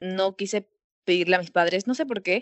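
A woman talks at a medium pitch. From Peru. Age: 19. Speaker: university student, singer. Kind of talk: interview. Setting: call from home.

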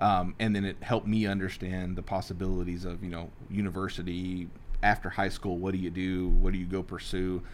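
A man with an American accent speaks at a fairly quick pace in a very deep, low pitch. His delivery is monotone and flat, with audible room echo. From Texas, South Houston and near Waco. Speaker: real estate broker and investor, former grocery executive. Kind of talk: interview conversation.

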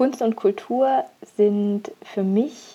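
A woman's dark, mellow voice sits at a medium pitch with ordinary pitch variation. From Bavaria, Augsburg. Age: 30s. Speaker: illustrator and graphic recorder. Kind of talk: prepared monologue. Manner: hesitant fillers.

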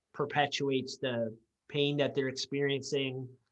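Here a man talks in an ordinary speaking voice at medium pitch. His pace is moderate. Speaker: podcast co-host, physiotherapist. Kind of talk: casual interview chat.

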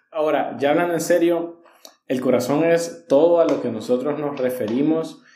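Audible room echo surrounds this man as he talks. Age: 20s. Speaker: church leadership teacher. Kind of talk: casual chat on faith.

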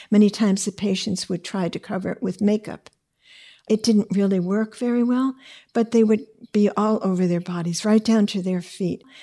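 A woman with a dark, mellow tone speaks at medium pitch and a moderate pace in monotone, flat intonation, in a very clean recording with a silent background. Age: 80s+. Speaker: retired hospice nurse. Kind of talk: interview recollection.

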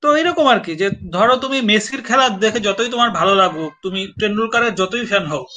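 A man's high-pitched, raised and projected voice with lively intonation. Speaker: writer and live-stream host. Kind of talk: casual chat. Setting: online live stream.

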